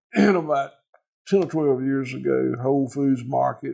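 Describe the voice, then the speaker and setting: A man speaks with a Southern US accent. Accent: Southern US (Georgia). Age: 60s. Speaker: farmer. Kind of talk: casual chat. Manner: halting, repeats words.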